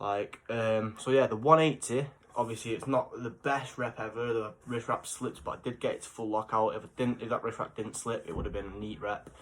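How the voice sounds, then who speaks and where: At a fairly quick pace with hardly any pauses, a man with an English accent speaks at a medium pitch. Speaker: fitness vlogger. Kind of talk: casual vlog. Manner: animated.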